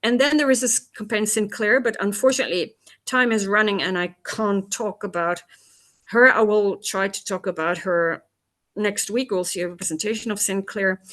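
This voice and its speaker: A woman with medium pitch and ordinary pitch variation talks at a moderate pace in an ordinary speaking voice. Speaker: tour guide. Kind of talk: lecture.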